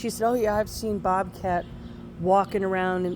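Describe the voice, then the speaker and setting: Noticeable background noise sits behind the speech. A woman talks at a medium pitch. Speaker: dog owner vlogger. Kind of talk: casual vlog monologue. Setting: outdoors walking dogs, then indoors. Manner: rambling, halting with fillers.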